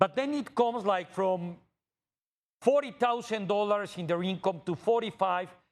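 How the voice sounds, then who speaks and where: A man with a Mexican accent at a moderate pace, his intonation lively. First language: Spanish. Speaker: TV interviewer. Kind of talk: interview conversation. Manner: halting.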